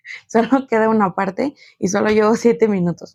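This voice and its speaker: The woman's fairly even intonation comes through a dry, close sound with no echo. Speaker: podcast host. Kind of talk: solo podcast monologue. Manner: fast; casual.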